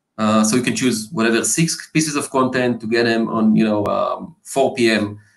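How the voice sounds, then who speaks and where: A man with a medium-pitched voice and ordinary pitch variation delivers his words at a moderate pace. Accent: non-native. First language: not English. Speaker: marketing executive. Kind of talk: interview. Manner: hesitant, many fillers.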